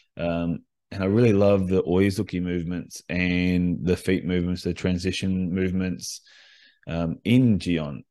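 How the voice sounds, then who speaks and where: In an Australian accent, the voice has a dark, mellow tone, a fairly slow pace and fairly even intonation. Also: man, very deep, low pitch for a man. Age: 40s. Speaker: karate instructor. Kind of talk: solo podcast monologue. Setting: home recording.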